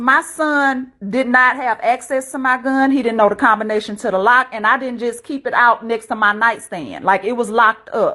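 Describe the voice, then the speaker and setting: Speaking at a moderate pace with an American accent, a woman uses a high pitch and ordinary pitch variation. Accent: slight country. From US South, rural. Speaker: panel participant in live stream discussion. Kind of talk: casual discussion.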